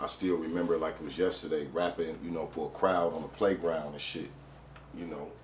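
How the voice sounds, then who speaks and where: Over audible room echo, a man with an American accent talks at a fairly quick pace in a very deep, low pitch, his intonation monotone and flat and his loudness swinging widely. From Detroit east side, US. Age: 40s. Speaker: rapper. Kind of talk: interview storytelling. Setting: studio. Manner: casual, frequent fillers.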